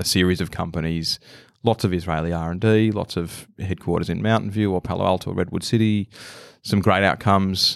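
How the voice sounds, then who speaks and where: A man with a very deep, low pitch talks at a very fast pace with fairly even intonation, the sound dry and close with no echo on a very clean recording with a silent background. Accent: Australian. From Australia, Melbourne. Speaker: venture capitalist. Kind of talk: interview.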